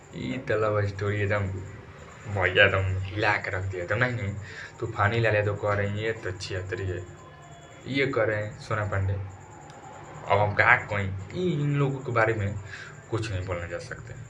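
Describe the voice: Over audible room echo, a man talks at a fairly slow pace with a fairly low pitch and a bright, sharp tone. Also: ordinary pitch variation.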